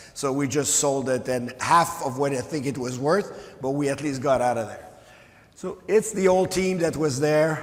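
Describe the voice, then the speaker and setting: Through noticeable background noise and audible room echo, a man with a French Canadian accent speaks at a moderate pace in a fairly high pitch. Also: ordinary pitch variation. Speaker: mining company executive. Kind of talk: conference presentation.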